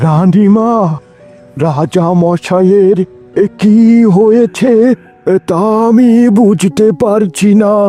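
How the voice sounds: A man uses a cartoonish character voice, high in pitch and very slow in pace. The sound is dry and close with no echo, and faint music plays in the background.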